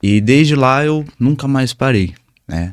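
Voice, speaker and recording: The speaker is a man with lively intonation. His pace is very slow. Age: 20s. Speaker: Muay Thai instructor. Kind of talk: interview. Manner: soft-spoken. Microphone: mic raised because he speaks quietly.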